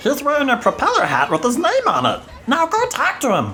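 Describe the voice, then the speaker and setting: Someone puts on a character voice and speaks at a fairly quick pace against clear background noise. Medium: audio drama. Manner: scheming, persuasive.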